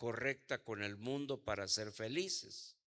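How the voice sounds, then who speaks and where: At a very slow pace, a man talks in a bright, sharp tone with ordinary pitch variation. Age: 70s. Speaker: apostle and pastor. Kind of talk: sermon.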